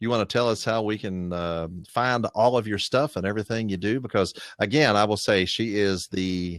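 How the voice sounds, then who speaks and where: A man with an Appalachian accent, fairly low-pitched, at a moderate pace with ordinary pitch variation, on a very clean recording with a silent background. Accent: Appalachian American. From West Virginia. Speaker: podcast co-host. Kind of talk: casual chat.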